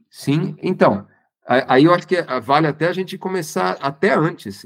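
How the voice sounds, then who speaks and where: With lively intonation and a fairly high pitch, a man talks with vocal fry. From Santo André, São Paulo state, Brazil. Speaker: designer and university professor. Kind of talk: casual interview chat.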